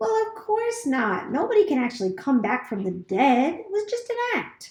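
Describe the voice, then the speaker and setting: Putting on a character voice, a woman talks at a moderate pace with a high pitch and very wide pitch swings. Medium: read story. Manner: theatrical, chatty.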